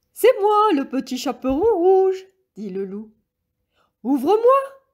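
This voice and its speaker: Using a put-on character voice, a woman talks at a fairly slow pace in an extremely high pitch that swings very widely. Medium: read story. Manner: sly, honeyed.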